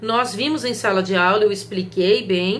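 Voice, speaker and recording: A woman speaks at a moderate pace with ordinary pitch variation, with audible room echo around her voice. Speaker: law professor. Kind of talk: recorded video lecture.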